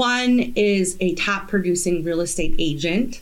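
A woman talks in a plain, everyday voice at a medium pitch. Her pitch variation is ordinary. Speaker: podcast host. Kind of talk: casual interview chat.

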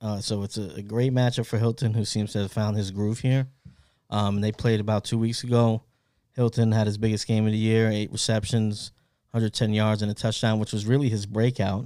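On a very clean recording with a silent background, a man with a fairly low pitch and a dark, mellow tone talks at a fairly quick pace in a monotone, flat intonation. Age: 30s. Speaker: fantasy football podcast host. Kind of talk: casual chat.

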